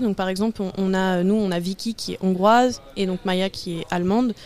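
Monotone, flat intonation marks a woman's dark, mellow tone. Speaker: civic service volunteer. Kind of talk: radio interview.

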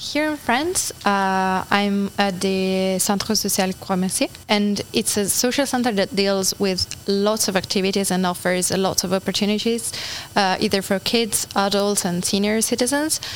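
Amid noticeable background noise, a woman with an Italian accent talks at a fairly slow pace and very even loudness, her medium pitch showing ordinary variation. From Italy (Turin). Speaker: volunteer. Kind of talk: interview.

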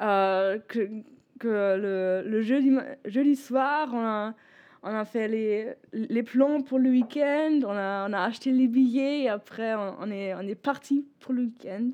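In a German accent and a dark, mellow tone, the speaker goes at a very slow pace. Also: woman, fairly high pitch for a woman, ordinary pitch variation, quiet background. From northern Germany, Bremen. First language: German (speaking French). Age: 20s. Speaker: former European volunteer, law student. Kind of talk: radio interview. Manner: halting, searching for words.

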